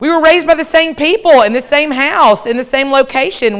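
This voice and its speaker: Loud and fairly quick, a woman with an American accent talks at a high pitch with very wide pitch swings. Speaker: professor and keynote speaker. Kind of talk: keynote talk to a live audience. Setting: stage with audience. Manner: fast.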